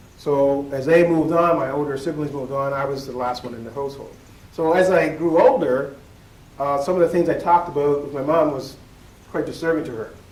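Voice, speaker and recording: Through noticeable background noise and audible room echo, a man with a fairly high pitch speaks at a fairly quick pace with big swings in loudness. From Nova Scotia, Weymouth Falls, Digby County. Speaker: keynote speaker, educator. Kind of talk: keynote speech. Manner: animated.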